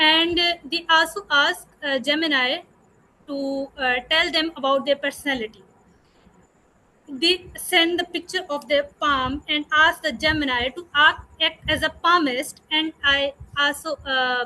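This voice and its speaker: Raised and projected, a woman's high, bright, sharp voice moves at a fairly slow pace with fairly even intonation. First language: not English. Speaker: university student, audience member. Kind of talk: audience question. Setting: video call. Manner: hesitant, halting.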